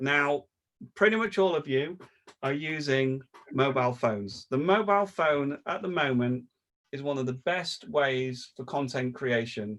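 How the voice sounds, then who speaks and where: Here a man speaks in an unremarkable speaking voice. His pace is fairly slow, with ordinary pitch variation. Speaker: video production trainer. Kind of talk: online training session.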